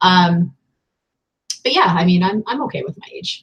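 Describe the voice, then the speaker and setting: A woman's somewhat breathy, medium-pitched voice at a moderate pace with ordinary pitch variation. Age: 40s. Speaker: online reseller and video host. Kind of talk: casual chat.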